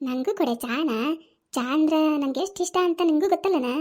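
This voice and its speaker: A squeaky, high-pitched cartoonish character voice delivered at a moderate pace. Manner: coaxing and persistent.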